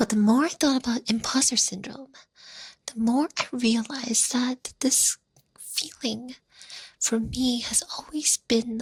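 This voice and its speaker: A woman's soft-spoken whisper at a very slow pace, dry and close with no echo. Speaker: ASMR content creator. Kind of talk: casual talk to camera. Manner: whispered, soft-spoken.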